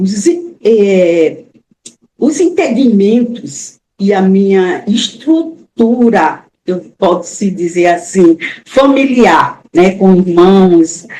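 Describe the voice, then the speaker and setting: Very slowly and with lively intonation, a woman speaks at a medium pitch in a dark, mellow tone. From Brazil, Alagoas (Maceió). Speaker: author, retired teacher. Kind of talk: interview.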